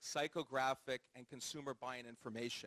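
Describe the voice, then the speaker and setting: A man with a normal speaking voice and an American accent talks at a moderate pace with a fairly high pitch and fairly even intonation, in dry, close sound with no echo. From US, California (Palo Alto). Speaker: startup co-founder. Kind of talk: onstage interview.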